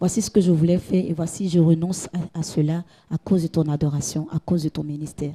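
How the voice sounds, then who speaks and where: Very fast and monotone, a woman speaks in a dark, mellow, somewhat breathy voice, the sound dry and close with no echo. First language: Gouro (speaking French). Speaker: gospel singer and hairdresser. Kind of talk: interview. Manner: halting, repeats words.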